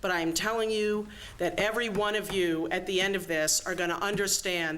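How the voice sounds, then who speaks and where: The woman's voice sits at a medium pitch with ordinary pitch variation. She talks at a fairly quick pace, and room echo is audible. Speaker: event host introducing a speaker. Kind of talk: speaker introduction at a luncheon. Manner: fast.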